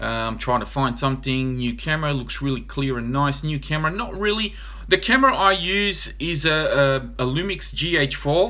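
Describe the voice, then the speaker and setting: Noticeable background noise and audible room echo surround a man with an Australian accent who talks with hardly any pauses. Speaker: RC hobby YouTuber. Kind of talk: live stream Q&A. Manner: fast.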